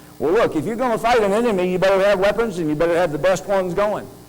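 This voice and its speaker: A man speaks in a high voice. Audible echo from the room surrounds it. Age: 60s. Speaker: conference speaker, health technology institute director. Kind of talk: conference talk. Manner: animated.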